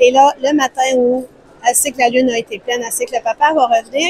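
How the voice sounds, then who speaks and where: A woman's high pitch in a Quebec accent at a very fast pace, with a dry, close sound with no echo and noticeable background noise. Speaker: publishing house representative. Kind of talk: interview answer.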